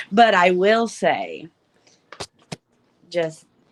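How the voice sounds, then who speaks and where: Intonation stays fairly even as the speaker talks at a very slow pace with an Arkansas accent. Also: woman. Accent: Arkansas country. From northwest Arkansas (Springdale). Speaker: guest. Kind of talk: casual chat.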